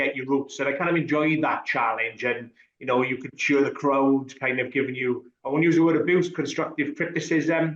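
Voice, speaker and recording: Speaking in a strong Welsh accent, a man with a fairly high pitch keeps a moderate pace, fairly even intonation and hardly any pauses. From Wales. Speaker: rugby referee. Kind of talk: podcast interview.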